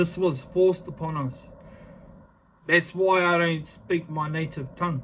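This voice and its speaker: A fairly slow pace in a New Zealand accent, with long, frequent pauses and fairly even intonation. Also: man, high pitch for a man. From New Zealand (Māori). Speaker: vlogger. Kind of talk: casual vlog talk to camera; impassioned rant. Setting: filming self on selfie stick. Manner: halting, many fillers; emphatic, impassioned.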